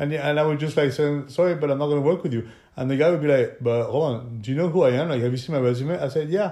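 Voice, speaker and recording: In a French accent, a man speaks at a very fast pace with a fairly high pitch and ordinary pitch variation. His tone is dark and mellow. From southern France. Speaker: film production company owner. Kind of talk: casual chat.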